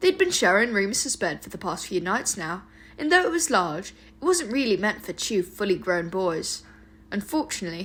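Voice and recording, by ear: The speaker is reading aloud in a natural voice. The words come across as read from a text.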